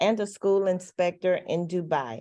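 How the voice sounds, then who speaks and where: A woman speaks with a Mississippi accent in a dark, mellow tone at a fairly slow pace over a quiet background. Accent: Southern Mississippi. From US South, Mississippi. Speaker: panel moderator. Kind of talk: panel introductions. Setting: video call.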